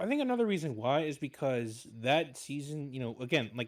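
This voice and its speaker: Lively intonation in a man's fairly high voice. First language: Spanish. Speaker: voice actor. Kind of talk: casual chat.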